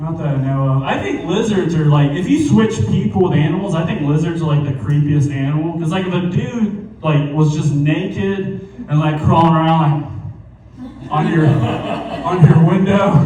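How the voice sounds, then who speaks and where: With hardly any pauses, a man with a fairly high pitch and ordinary pitch variation speaks amid noticeable background noise and audible room echo. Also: moderate pace. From US South, small town. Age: 20s. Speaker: stand-up comedian. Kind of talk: stand-up.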